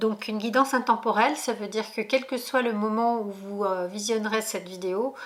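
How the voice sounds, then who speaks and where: A woman with a fairly high pitch keeps fairly even intonation and a moderate pace while noticeable background noise carries on behind her. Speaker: tarot reader. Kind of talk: tarot reading video. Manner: hesitant, many fillers.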